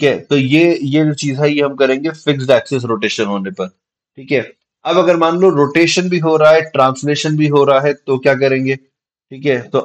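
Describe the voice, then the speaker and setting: A man at a moderate pace, fairly even intonation, quiet background. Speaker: physics teacher. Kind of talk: lecture.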